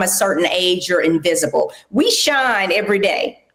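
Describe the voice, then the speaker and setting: A woman's fairly high, lively voice at a moderate pace, an unremarkable speaking voice. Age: 60s. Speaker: podcast host and aging advocate. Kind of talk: interview.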